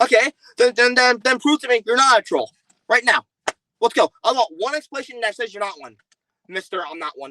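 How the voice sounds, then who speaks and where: A man with an extremely high voice projects loudly in a bright, sharp tone, his loudness swinging greatly and his pitch varying in an ordinary way. He moves at a fairly quick pace with long, frequent pauses, and the sound is dry and close with no echo. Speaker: streamer. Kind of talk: heated debate.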